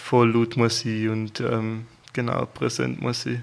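A man with a medium pitch speaks in a calm tone and a flat, monotone intonation over a quiet background. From eastern Switzerland, Toggenburg. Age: 20s. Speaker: photographer and videographer. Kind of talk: interview.

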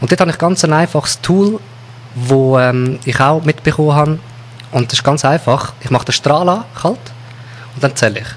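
With a Swiss accent, a man speaks at a moderate pace and fairly high pitch, with ordinary pitch variation and long, frequent pauses. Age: 30s. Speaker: hypnotherapist. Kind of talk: interview.

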